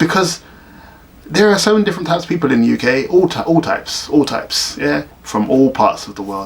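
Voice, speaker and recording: A man with a South London accent talks at a fairly quick pace and fairly high pitch. His pitch swings very widely over noticeable background noise. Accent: South London, Bermondsey. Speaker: teacher in Japan. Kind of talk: casual talk to camera. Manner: ranting, sarcastic.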